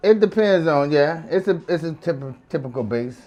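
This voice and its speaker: A man with a New Orleans accent at a moderate pace. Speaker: chef. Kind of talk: casual cooking chat.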